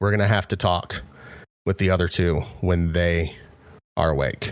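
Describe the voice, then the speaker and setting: A man puts on a raspy character voice with a very deep, low pitch. He talks at a moderate pace on a very clean recording with a silent background. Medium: actual play. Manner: gentle, caring.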